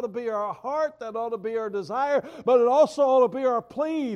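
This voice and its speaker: With a Southern US accent, this voice moves at a moderate pace with ordinary pitch variation. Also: man. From US South. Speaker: pastor. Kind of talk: sermon.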